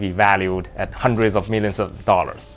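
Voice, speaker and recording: Male speaker with a Mandarin accent at a moderate pace. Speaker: gaming YouTuber. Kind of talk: video commentary narration. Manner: hesitant with fillers.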